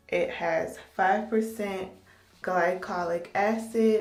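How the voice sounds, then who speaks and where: A woman speaks in a medium pitch with monotone, flat intonation and audible room echo. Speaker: beauty vlogger. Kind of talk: casual vlog. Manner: casual, hesitant with fillers.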